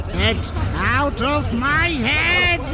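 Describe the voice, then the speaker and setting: Over loud background noise, the speaker uses a put-on character voice. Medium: audio drama. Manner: grandiose, theatrical.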